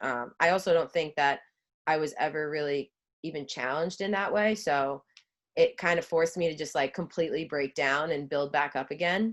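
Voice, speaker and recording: A woman with a Long Island accent, very deep, low pitch, ordinary pitch variation and a moderate pace, over a quiet background. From Long Island, New York (Suffolk County, South Shore). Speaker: former college lacrosse player, brand ambassador. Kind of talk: casual podcast interview.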